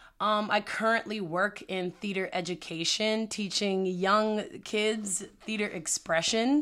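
A woman speaks in an ordinary speaking voice with an American accent and ordinary pitch variation, on a very clean recording with a silent background. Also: medium pitch for a woman. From Prince George's County, Maryland. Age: 20s. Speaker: podcast co-host and theater teacher. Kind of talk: casual chat.

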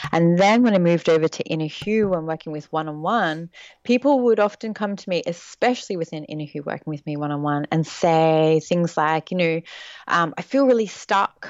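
This is an unremarkable speaking voice with lively intonation. The pace is fairly quick. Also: woman, fairly low pitch for a woman. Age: 30s. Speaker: intuitive mentor and writer. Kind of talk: interview.

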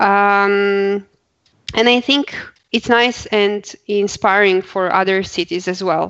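A woman at a very slow pace, with long, frequent pauses, fairly even intonation and very even loudness. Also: medium pitch for a woman. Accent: Croatian. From Croatia. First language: Croatian. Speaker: accessibility professional, blind co-host. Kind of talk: casual chat.

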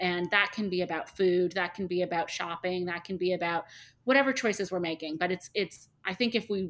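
This woman has a normal speaking voice, medium in pitch, with fairly even intonation at a fairly quick pace. The recording is very clean, with a silent background. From Canada, Toronto. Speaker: hair removal studio owner. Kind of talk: interview.

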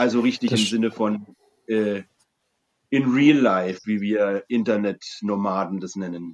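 Fairly low in pitch, a man speaks at a fairly slow pace with fairly even intonation. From Franconia, Germany. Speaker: brewery co-owner. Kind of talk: casual chat. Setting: video call.

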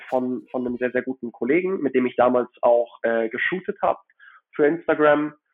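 Male, an unremarkable speaking voice, pitched in the middle range, its rise and fall ordinary. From Hamburg, northern Germany. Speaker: watch collector. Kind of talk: casual chat.

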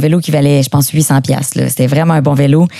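A woman speaks at a moderate pace with a raspy voice. She has a Quebec accent. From Quebec, Beauce. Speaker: actress and guest co-host. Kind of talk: casual chat.

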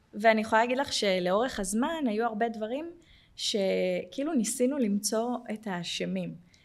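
Audible room echo surrounds this woman's fairly high voice. She keeps a moderate pace with ordinary pitch variation. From Jerusalem, Israel. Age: 40s. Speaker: welfare manager at a tech company. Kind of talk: personal testimony.

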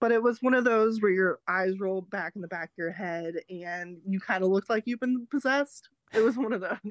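In a plain, everyday voice, a woman talks at a fairly quick pace with hardly any pauses, ordinary pitch variation and big swings in loudness. The sound is dry and close, with no echo. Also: medium pitch for a woman. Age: 20s. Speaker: optician. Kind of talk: casual chat.

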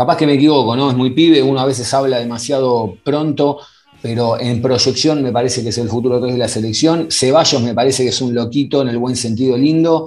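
There is noticeable background noise and audible room echo. A man with an Argentine accent speaks at a fairly quick pace, at a medium pitch, with fairly even intonation. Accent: Rioplatense Argentine Spanish. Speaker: podcast host. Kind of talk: casual interview. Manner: halting.

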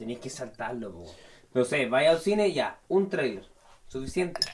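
Very wide pitch swings come at a fairly quick pace. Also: man. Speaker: film podcast co-host. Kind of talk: casual chat. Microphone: sounds bad on the mic.

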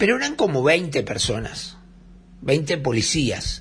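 With audible room echo, a man speaks in an animated tone at a fairly high pitch, using very wide pitch swings and vocal fry. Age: 60s. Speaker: radio host and journalist. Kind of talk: casual radio monologue.

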